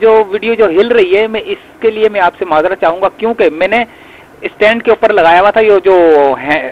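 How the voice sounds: A high-pitched man speaks at a fairly quick pace in dry, close sound with no echo. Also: ordinary pitch variation.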